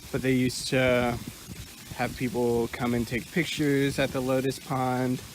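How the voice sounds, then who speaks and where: A man speaks very slowly at a medium pitch, with monotone, flat intonation. Noticeable background noise runs under the recording. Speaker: counseling student. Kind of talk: casual vlog tour narration. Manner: hesitant; quiet.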